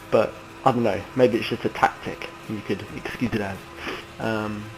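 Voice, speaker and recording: Music in the background behind a man with an English accent, fairly low in pitch, monotone and flat in intonation, at a moderate pace. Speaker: sim racing gamer. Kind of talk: gameplay tutorial commentary. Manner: hesitant, many ums.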